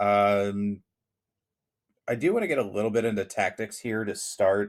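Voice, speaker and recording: This is a man speaking. His pitch sits fairly low. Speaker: soccer podcast host. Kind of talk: casual chat. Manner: loud, carrying voice when heckling.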